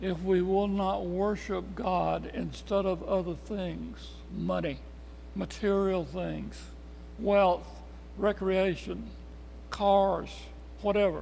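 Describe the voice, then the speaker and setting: A man with a Tennessee accent speaks at a very slow pace with long, frequent pauses, and audible room echo surrounds him. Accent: Southern US (Tennessee). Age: 80s+. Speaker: Bible study teacher. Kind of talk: Bible study lesson.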